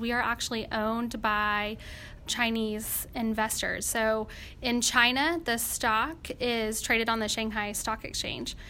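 With audible room echo, a woman speaks fairly slowly in a high-pitched voice with a bright, sharp tone. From Arkansas, West Fork. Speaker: oil and gas finance executive. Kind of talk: interview.

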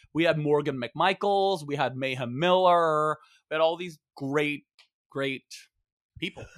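A man with a fairly high pitch talks in an animated tone at a fairly slow pace. His pitch varies in an ordinary way, with long, frequent pauses. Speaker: comedian and author. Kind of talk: casual chat. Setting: stage with audience. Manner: loud.

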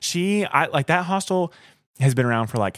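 A man talks with a Southern US accent. The recording is very clean, with a silent background. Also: dry, close sound with no echo. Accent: Southern US (Georgia). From rural north Georgia (Blairsville). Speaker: thru-hiker. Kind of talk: casual interview. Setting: cabin in the mountains.

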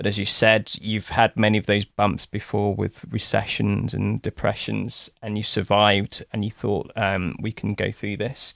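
A man speaks with vocal fry and a fairly low pitch at a moderate pace. His intonation is monotone and flat, in a dry, close sound with no echo. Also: hardly any pauses. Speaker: business coach and podcast host. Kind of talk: coaching session conversation.

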